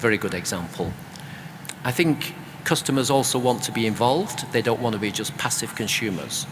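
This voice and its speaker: A man with a medium-pitched voice and ordinary pitch variation keeps a moderate pace while noticeable background noise plays. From UK. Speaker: author and creative economy expert. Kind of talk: panel discussion.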